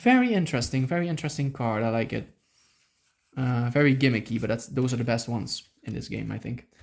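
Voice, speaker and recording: Very fast speech in a Dutch accent. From Netherlands. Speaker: YouTuber opening trading card packs. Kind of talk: casual unboxing commentary. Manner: animated, filler-heavy.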